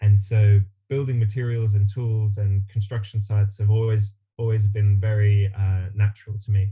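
Somewhat breathy with a dark, mellow tone, this man speaks at a fairly low pitch. His intonation is monotone and flat, at a moderate pace. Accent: Australian. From Australia. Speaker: builder and teacher. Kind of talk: interview.

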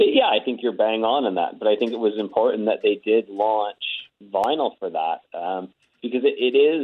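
The clip has an ordinary speaking voice with ordinary pitch variation at a moderate pace. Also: man, medium pitch for a man. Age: 30s. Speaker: record store chain executive. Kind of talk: phone interview. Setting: phone call.

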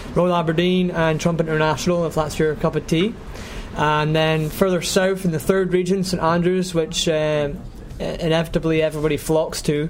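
A man's high-pitched voice at a moderate pace, with monotone, flat intonation, very even loudness and noticeable background noise. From northeast Scotland. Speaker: golf travel podcast host. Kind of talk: casual interview.

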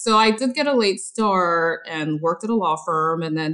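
A woman speaks in a plain, everyday voice at a fairly low pitch. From Korea, raised in Los Angeles from age eight. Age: 40s. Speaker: hair colorist. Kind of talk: interview conversation.

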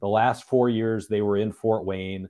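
A man speaks at a moderate pace and a medium pitch. It is an ordinary speaking voice. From Michigan. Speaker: hockey reporter and podcast co-host. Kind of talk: casual sports discussion.

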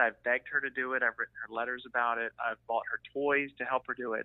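Moving at a fairly quick pace, a man speaks in a monotone, flat intonation. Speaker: anonymous guest. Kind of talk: personal storytelling. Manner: proper.

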